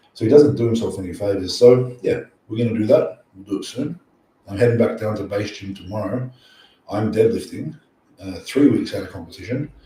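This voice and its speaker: A man with an Australian accent, a dark, mellow, somewhat breathy tone, a fairly quick pace and big swings in loudness. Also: medium pitch for a man, ordinary pitch variation. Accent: Australian, sometimes mistaken for English. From Australia, near Sydney. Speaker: powerlifting coach and YouTuber. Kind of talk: live stream Q&A. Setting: live stream at night. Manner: casual, animated.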